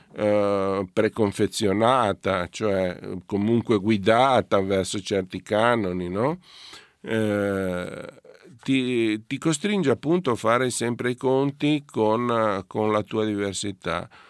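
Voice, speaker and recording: Dry and close with no echo, a man's fairly low voice moves at a very slow pace with ordinary pitch variation. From Italy, Genoa. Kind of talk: casual chat.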